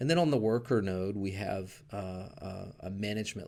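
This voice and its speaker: His voice is very deep and low. The man speaks with a Southern US accent. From US South. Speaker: tech educator. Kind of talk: tutorial. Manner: halting, many fillers.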